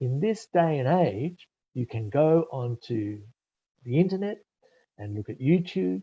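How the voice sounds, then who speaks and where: Over a dry, close sound with no echo, a somewhat breathy voice with a dark, mellow tone moves at a fairly slow pace through very wide pitch swings. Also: man, quiet background. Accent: Australian. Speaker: IELTS test preparation expert. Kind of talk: webinar presentation. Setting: live online webinar.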